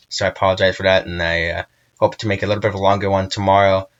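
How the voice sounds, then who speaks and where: Very deep and low, a man's voice races at a very fast pace with monotone, flat intonation. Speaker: weather channel host. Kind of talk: weather update. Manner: halting.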